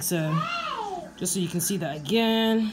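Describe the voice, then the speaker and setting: A woman speaks over clear music in the background. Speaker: vlogger. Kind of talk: casual tutorial vlog chat. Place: home room. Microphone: phone near.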